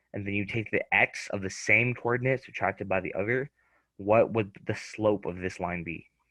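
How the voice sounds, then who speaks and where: Speaking at a moderate pace, a man has a fairly low pitch. His intonation stays fairly even. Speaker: student tutor. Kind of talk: tutoring lesson. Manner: talkative, verbal; halting with many fillers.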